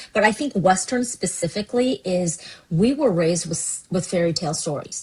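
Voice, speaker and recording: At a moderate pace, a woman with a medium-pitched, somewhat breathy voice speaks with lively intonation. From US West Coast, Seattle, Washington. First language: Cantonese. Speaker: pastor. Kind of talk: podcast interview.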